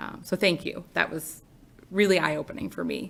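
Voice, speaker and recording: A woman speaks with vocal fry. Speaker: mayor. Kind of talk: public meeting remarks. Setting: city commission meeting chamber.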